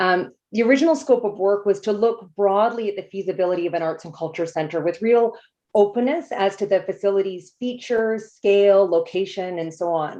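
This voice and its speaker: A woman talks at a fairly quick pace with hardly any pauses. Her dark, mellow tone carries ordinary pitch variation. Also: medium pitch for a woman. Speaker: consultant project manager. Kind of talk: presentation. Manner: fast.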